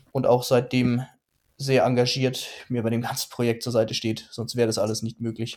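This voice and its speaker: A man's medium-pitched voice, monotone and flat in intonation, at a moderate pace. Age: 30s. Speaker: graffiti artist and design student. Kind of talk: interview.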